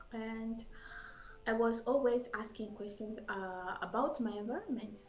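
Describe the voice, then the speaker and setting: With audible room echo and noticeable background noise, a woman speaks in a fairly high voice with a French accent. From Burundi. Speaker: scientist. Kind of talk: interview. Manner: halting.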